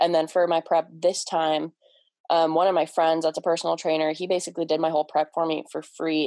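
Speaking at a very fast pace in a Midwestern US accent, a woman has a dark, mellow tone and a dry, close sound with no echo. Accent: US Midwest. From Cleveland, Ohio. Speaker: bodybuilder. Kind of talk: casual chat.

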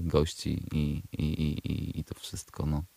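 The man's voice comes through a very clean recording with a silent background and a dry, close sound with no echo. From Poland, Przemyśl area (south-east). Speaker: rapper. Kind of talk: radio interview. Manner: halting, many repeated words.

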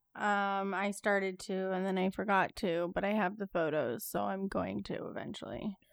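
A woman has a plain, everyday voice at medium pitch, with fairly even intonation. She talks at a moderate pace with hardly any pauses, on a very clean recording with a silent background. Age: 20s. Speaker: podcast co-host. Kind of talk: casual chat.

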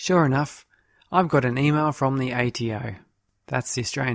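Against a quiet background, the voice is a natural reading voice.

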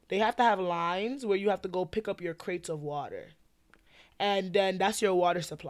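A woman with an American accent speaks in a plain, everyday voice at a medium pitch and fairly quick pace, with ordinary pitch variation, on a very clean recording with a silent background. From New York. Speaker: podcast co-host. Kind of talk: casual chat.

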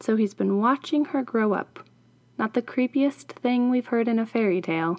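The clip is plain reading aloud. It is read straight through.

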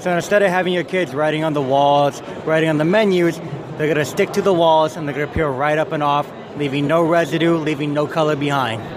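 Noticeable background noise sits under a man's fairly high voice. He speaks at a fairly quick pace with fairly even intonation. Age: 20s. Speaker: toy company representative. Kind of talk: sales pitch.

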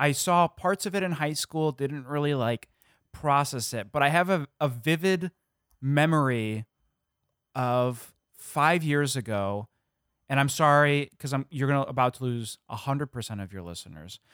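In a very clean recording with a silent background and a dry, close sound with no echo, a man uses an ordinary speaking voice, fairly high, at a moderate pace with ordinary pitch variation. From Illinois. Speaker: comedy podcast producer. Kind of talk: casual chat.

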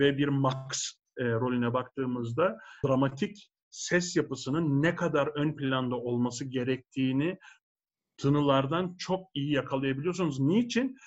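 A man with an ordinary speaking voice talks at a fairly slow pace and fairly high pitch, with ordinary pitch variation and very even loudness. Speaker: opera tenor. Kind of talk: casual interview.

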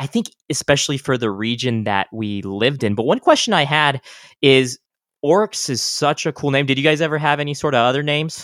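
A man's plain, everyday voice with an American accent, fairly high for a man, at a fairly quick pace with lively intonation, in a very clean recording with a silent background and a dry, close sound with no echo. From El Paso, Texas. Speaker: podcast host. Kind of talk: casual interview; scripted outro.

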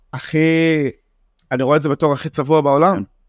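The dry, close recording with no echo captures a man with an Arabic accent and a fairly high pitch. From Israel, Jaffa. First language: Arabic (speaking Hebrew). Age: 20s. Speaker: young spoken word poet. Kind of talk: casual interview.

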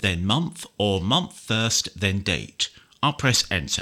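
Over a silent background in a very clean recording, a man with a British accent speaks in a bright, sharp tone. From United Kingdom. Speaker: software trainer. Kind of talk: tutorial. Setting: screen reader demo. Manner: clear, instructional.

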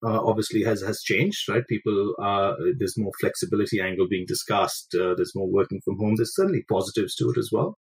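A man's fairly low, somewhat breathy voice at a fairly quick pace, dry and close with no echo. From India. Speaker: finance executive, former tennis player. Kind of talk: interview. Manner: halting, many fillers.

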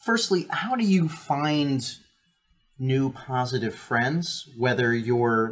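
Speaking very slowly, the man keeps a medium pitch that varies in an ordinary way. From New Jersey. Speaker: podcast co-host. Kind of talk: casual chat. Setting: live stream.

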